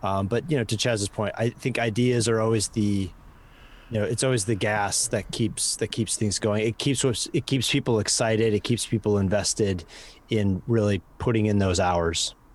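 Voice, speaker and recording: A man's fairly low voice with a Midwestern American accent, moderate pace, fairly even intonation and very even loudness on a very clean recording with a silent background. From US Midwest. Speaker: advertising professional and podcast co-host. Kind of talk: interview conversation.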